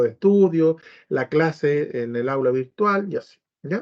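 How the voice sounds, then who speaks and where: A man speaks with a Chilean accent. His intonation is lively. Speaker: biomagnetism teacher. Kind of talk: informational talk to prospective students. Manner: fast.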